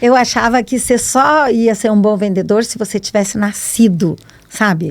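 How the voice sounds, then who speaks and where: Noticeable background noise runs through the clip. A woman with a fairly high pitch talks at a moderate pace with ordinary pitch variation. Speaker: salesperson and entrepreneur. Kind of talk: podcast interview. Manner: animated.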